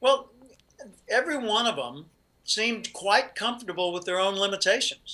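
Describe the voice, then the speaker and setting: At a moderate pace, a man projects a raised voice with a bright, sharp tone, high pitch and ordinary pitch variation. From US South, Little Rock, Arkansas. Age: 60s. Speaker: professional speaker and author. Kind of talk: interview conversation.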